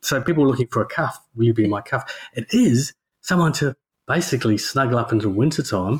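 A man's medium-pitched, somewhat breathy voice at a fairly quick pace, dry and close with no echo. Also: ordinary pitch variation. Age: 40s. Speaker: podcast co-host. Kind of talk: casual chat.

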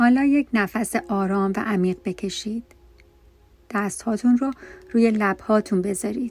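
Over music in the background, a woman talks in a calm, gentle tone at a fairly high pitch. Her pitch varies in an ordinary way, and she leaves long, frequent pauses. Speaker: meditation guide. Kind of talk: guided meditation. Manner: slow, soft, soothing; calm, gentle, with pauses between instructions.

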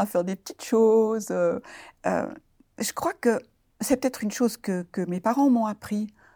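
At a moderate pace, a woman speaks with a fairly high pitch, lively intonation and a dark, mellow tone, in a dry, close sound with no echo on a very clean recording with a silent background. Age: 70s. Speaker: retiree and abuse survivor. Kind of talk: testimony. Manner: halting.

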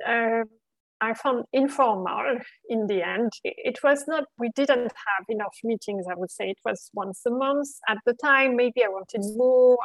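A woman with a French accent speaks at a fairly slow pace in a high voice with ordinary pitch variation. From France. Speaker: recruiter. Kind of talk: interview.

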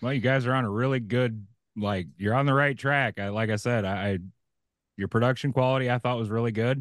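This is an ordinary speaking voice at a fairly quick pace with fairly even intonation. The background is quiet. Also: man, medium pitch for a man. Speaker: podcast host. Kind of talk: casual interview chat.

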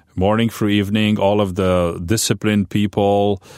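A man speaks with a Romanian accent. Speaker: pastor. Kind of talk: interview testimony. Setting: studio. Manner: loud.

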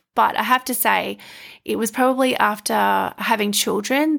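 With an Australian accent, a woman speaks in a warm tone. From rural Queensland, Australia (Stanthorpe). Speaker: podcast host and life coach. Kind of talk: personal monologue. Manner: warm, laughs often.

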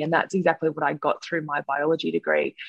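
This is a woman with an Australian accent. Her intonation stays fairly even. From Australia, Sutherland Shire in New South Wales. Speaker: scientist, model and reality show contestant. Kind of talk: interview.

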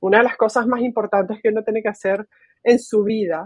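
A woman's fairly high voice, with ordinary pitch variation and a moderate pace. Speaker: technology executive. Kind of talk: interview. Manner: filler-heavy, hesitant.

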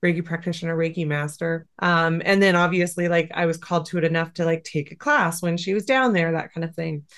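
A woman with an American accent talks in an unremarkable speaking voice, fairly low in pitch, at a fairly quick pace with fairly even intonation and hardly any pauses. The background is quiet. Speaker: Reiki teacher and animal communicator. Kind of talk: interview conversation.

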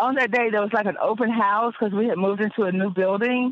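A woman with a North Carolina accent speaks at a medium pitch with ordinary pitch variation. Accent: North Carolina Southern American. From North Carolina, Wake County. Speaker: former injury claimant. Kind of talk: interview testimony.

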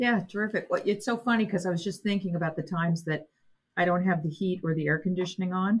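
Somewhat breathy and at medium pitch, a woman speaks at a very fast pace. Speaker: college president and podcast host. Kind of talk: interview conversation.

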